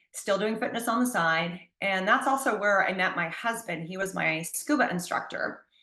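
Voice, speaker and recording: In a room with audible echo, a woman talks at a moderate pace in a medium pitch with ordinary pitch variation. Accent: American. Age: 60s. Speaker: personal trainer and long-distance hiker. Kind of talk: interview.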